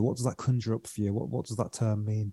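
A man's dark, mellow voice at a medium pitch, dry and close with no echo, on a very clean recording with a silent background. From Britain. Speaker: breathwork coach and podcast host. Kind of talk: casual interview chat.

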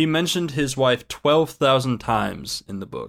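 At a fairly slow pace, a man talks in an unremarkable speaking voice. His pitch variation is ordinary. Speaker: podcast co-host. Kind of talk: casual chat. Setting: online voice call.

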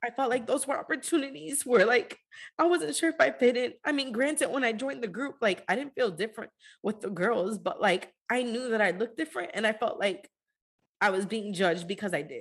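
A woman talking at a fairly quick pace with very wide pitch swings, over a quiet background. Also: fairly high pitch for a woman. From US, Dominican-American family. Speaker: podcast co-host. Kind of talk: casual chat.

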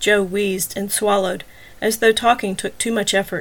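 Reading in an unforced voice

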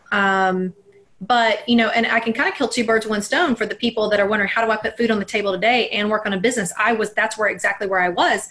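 A woman talks very fast in a fairly high pitch with an American accent and ordinary pitch variation. Background noise is noticeable. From US South, Alabama. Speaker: mindset coach. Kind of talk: interview.

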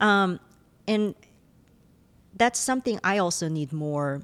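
A woman with a Korean accent speaks at a moderate pace with ordinary pitch variation. The recording is very clean and dry, close with no echo, over a silent background. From South Korea. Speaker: professor. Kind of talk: interview.

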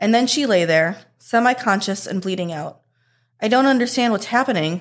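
A woman with a plain, everyday voice is heard on a very clean recording with a silent background. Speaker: park ranger podcast host reading horror stories. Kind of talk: ghost story telling, dark spooky campfire tale read aloud; reading aloud.

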